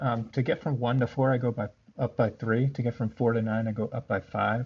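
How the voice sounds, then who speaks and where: The voice is somewhat breathy, with fairly even intonation. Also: man. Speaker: math teacher. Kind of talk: tutorial. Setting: recorded instructional video. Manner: monotone.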